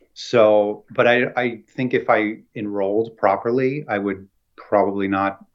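Talking at a fairly slow pace, a man with an American accent has a plain, everyday voice of medium pitch. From Central New Jersey. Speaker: fiber artist. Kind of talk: casual interview. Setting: video call.

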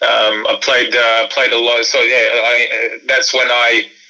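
A man speaks with an Australian accent. Noticeable background noise runs behind him. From Sydney, Australia (born in Croatia). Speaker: former basketball player and entrepreneur. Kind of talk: interview. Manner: hesitant, many fillers and repeats.

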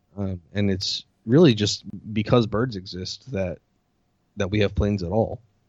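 A man speaks in an ordinary speaking voice, fairly low in pitch, with ordinary pitch variation. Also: moderate pace. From US. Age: 30s. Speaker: podcast host. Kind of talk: casual chat.

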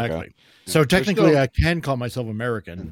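Speaking at a very fast pace, the man has a medium pitch with very wide pitch swings. The recording is very clean, dry and close with no echo, and the background is silent. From born in Ontario, raised in New Brunswick, lives in Alberta. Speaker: voice actor, podcast guest. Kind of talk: casual conversational. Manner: very enunciated.

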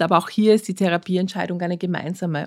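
A woman uses an ordinary speaking voice, fairly low in pitch with fairly even intonation. The recording is very clean with a silent background and a dry, close sound with no echo. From Austria, Vienna. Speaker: physician, diabetologist. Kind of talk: interview.

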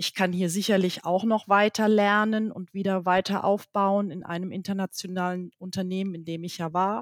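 A woman speaks at a moderate pace and medium pitch with hardly any pauses, monotone, flat intonation and big swings in loudness, in a dry, close sound with no echo. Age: 50s. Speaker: company CEO. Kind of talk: interview. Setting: video call.

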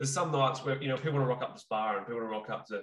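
With an Australian accent, a man speaks in a medium pitch, somewhat breathy, with fairly even intonation. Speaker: Muay Thai trainer and podcast co-host. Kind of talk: casual chat.

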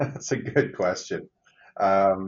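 A man with a low pitch and lively intonation at a very slow pace

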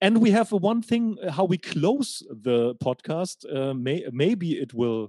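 Speech in a German accent moves at a very slow pace with very wide pitch swings. The sound is dry and close, with no echo. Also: man, high pitch for a man. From Germany, Hanover. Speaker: podcast host, German teacher. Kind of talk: casual interview conversation. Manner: halting, repeats words.

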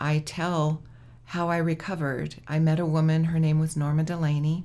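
A woman's very deep, low voice in a flat monotone at a fairly slow pace, on a very clean recording with a silent background. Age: 60s. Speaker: author and trauma survivor. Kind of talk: interview.

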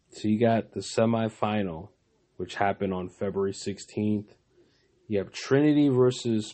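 At a moderate pace, a man with a fairly low pitch talks in an unremarkable speaking voice with ordinary pitch variation. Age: 30s. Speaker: basketball podcast host. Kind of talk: solo sports commentary podcast. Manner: casual, filler-heavy.

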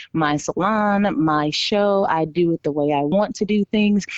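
An ordinary speaking voice from a woman, medium in pitch with ordinary pitch variation, at a fairly slow pace, in dry, close sound without echo. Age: 30s. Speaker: small business owner. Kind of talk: interview.

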